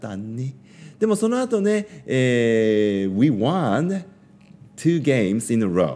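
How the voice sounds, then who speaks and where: Very wide pitch swings mark a man's speech at a very slow pace. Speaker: school staff and bilingual radio host. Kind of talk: casual bilingual radio talk. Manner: friendly, mixes English and Japanese.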